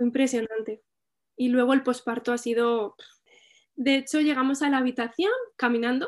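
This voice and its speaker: Against a quiet background, a woman with a high pitch talks at a moderate pace with long, frequent pauses, fairly even intonation, and very even loudness. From Spain, Albacete. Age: 30s. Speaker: mother sharing birth story. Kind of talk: testimony.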